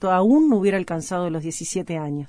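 In a Uruguayan accent, the voice has a dark, mellow tone, a moderate pace and ordinary pitch variation. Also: woman. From Uruguay, Paysandú. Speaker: singer-songwriter. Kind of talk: radio music show presenting. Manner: hesitant, repeating words.

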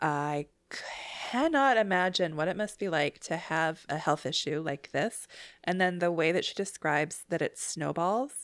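In a Canadian accent, a woman with a plain, everyday voice and a fairly low pitch speaks at a fairly slow pace with lively intonation on a very clean recording with a silent background. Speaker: podcast host, TV recapper. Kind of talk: casual chat, recap podcast.

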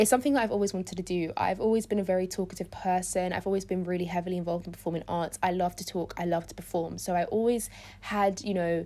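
Delivered at a very fast pace with a London accent, the dark, mellow voice comes through a very clean recording with a silent background. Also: woman. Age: 20s. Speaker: podcast host, student. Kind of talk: solo podcast monologue.

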